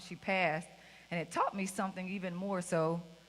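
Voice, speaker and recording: A woman's bright, sharp, medium-pitched voice in a Mississippi accent, at a moderate pace. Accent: Mississippi Southern US. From US South, rural Mississippi. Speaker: keynote speaker, school principal. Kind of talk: keynote speech. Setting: stage with audience. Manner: loud; animated.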